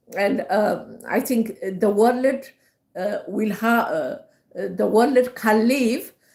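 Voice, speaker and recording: Her fairly high, somewhat breathy voice moves at a very slow pace with long, frequent pauses and ordinary pitch variation. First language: Amharic. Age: 70s. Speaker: livestreamer. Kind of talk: casual livestream monologue. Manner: halting, many fillers.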